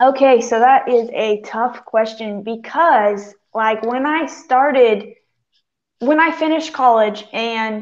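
A woman speaks in a fairly high voice with ordinary pitch variation. The background is quiet. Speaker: campus ministry intern; panelist. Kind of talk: casual chat. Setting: video call. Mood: warm, reflective, light humor. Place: home room.

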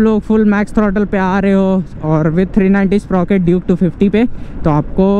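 At a moderate pace, the voice comes through with dry sound, no echo, and light background noise. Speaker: motovlogger. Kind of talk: casual vlog chat. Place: motorbike. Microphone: helmet.

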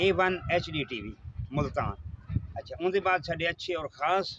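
On a dry sound with no echo and light background noise, a man with a high pitch talks at a fairly slow pace with ordinary pitch variation. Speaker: comedy video actor. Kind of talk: casual address to viewers, introducing cast. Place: open country. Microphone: camera far.

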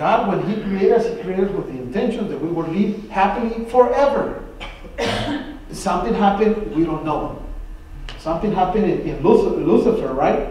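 A man at a moderate pace with lively intonation, light background noise and audible room echo. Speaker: Bible study teacher. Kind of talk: sermon. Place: church. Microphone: camera far.

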